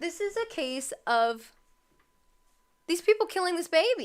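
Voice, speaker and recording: A woman uses a raised, projected voice with a bright, sharp tone. Her pitch swings very widely at a moderate pace. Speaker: true crime livestreamer. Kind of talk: live stream commentary. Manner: casual, some stumbling.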